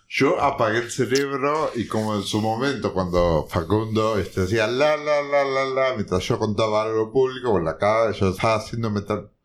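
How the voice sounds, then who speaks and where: Noticeable background noise sits behind a man speaking. He keeps a moderate pace with hardly any pauses. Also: medium pitch for a man, ordinary pitch variation. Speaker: podcast host. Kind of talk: casual chat.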